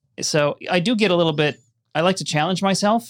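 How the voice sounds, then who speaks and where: A man with a normal speaking voice talks at a moderate pace with lively intonation, the sound dry and close with no echo. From Minnesota, Minneapolis western suburbs. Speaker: film and TV editor and documentary director. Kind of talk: casual interview conversation. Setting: studio.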